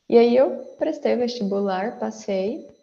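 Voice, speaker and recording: A woman's dark, mellow tone at a fairly slow pace, with audible room echo. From Brazil, interior of São Paulo state (Franca). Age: 20s. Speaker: data professional, former math teacher. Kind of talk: casual interview.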